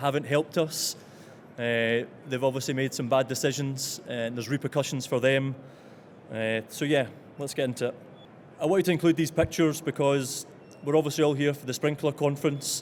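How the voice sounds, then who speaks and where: Speaking at a fairly quick pace, a man with a Scottish accent uses a fairly high pitch. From Scotland. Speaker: engineer presenting at an industry conference. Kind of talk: conference presentation. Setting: conference stage with audience.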